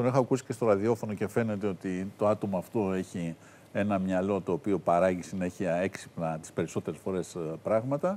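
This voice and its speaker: A man talks at a moderate pace with a fairly low pitch and ordinary pitch variation. He has an ordinary speaking voice. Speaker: TV critic; talk show guest. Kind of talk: casual chat. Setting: studio. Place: studio. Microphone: lapel.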